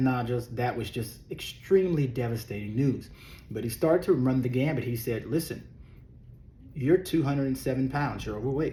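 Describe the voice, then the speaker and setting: A somewhat breathy man with a Texas accent, dark, mellow tone, medium pitch and moderate pace. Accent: southern US (Texas). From Texas (raised in Beaumont, born Louisiana). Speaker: weight loss coach and former worship pastor. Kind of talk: casual vlog monologue. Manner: animated.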